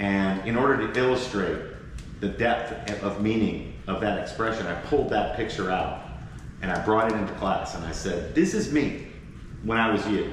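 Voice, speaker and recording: A man's fairly low voice at a moderate pace, with ordinary pitch variation, noticeable background noise and audible room echo. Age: 60s. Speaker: professor. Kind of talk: podcast interview. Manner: conversational, with fillers and restarts.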